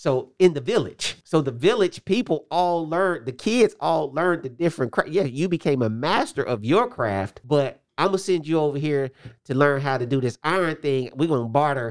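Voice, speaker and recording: A man with a fairly high pitch uses a plain, everyday voice with lively intonation at a moderate pace. The recording is very clean with a silent background. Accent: American. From Indianapolis, US Midwest. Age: 40s. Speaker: pastor and kickboxing gym owner. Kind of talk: casual interview chat.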